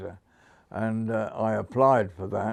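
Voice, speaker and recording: Against a quiet background, a man speaks with fairly even intonation and a fairly low pitch. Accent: Hampshire. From southern England (Hampshire). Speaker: former motorcycle sales manager. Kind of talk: interview storytelling. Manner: halting, many fillers; stammers slightly.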